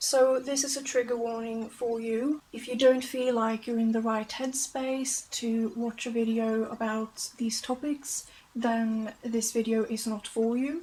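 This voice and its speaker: A woman's fairly slow, monotone, flat delivery at a fairly high pitch, dark and mellow in tone, with a non-native accent. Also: hardly any pauses. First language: not English. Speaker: YouTuber. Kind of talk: documentary-style narration of facts. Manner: casual, with fillers.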